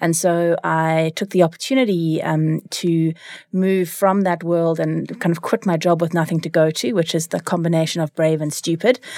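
A woman with a dark, mellow tone and fairly even intonation speaks at a moderate pace in a very clean recording with a silent background. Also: fairly low pitch for a woman. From South Africa, Cape Town. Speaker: leadership coach. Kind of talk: interview. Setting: studio.

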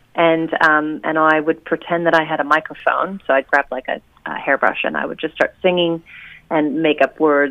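A woman speaks at a very deep, low pitch. Her delivery is monotone and flat, at a moderate pace. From US Oregon. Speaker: singer musician. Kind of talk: radio interview. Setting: phone call.

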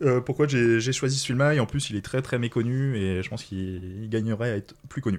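A man's medium-pitched voice, an ordinary speaking voice, with ordinary pitch variation. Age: 30s. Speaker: podcast guest. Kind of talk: casual chat.

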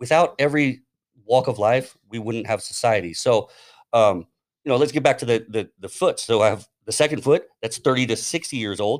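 Over a silent background, in a very clean recording, a man speaks at a moderate pace. He has an unremarkable speaking voice, a medium pitch and ordinary pitch variation. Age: 40s. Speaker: podcast host. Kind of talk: casual chat.

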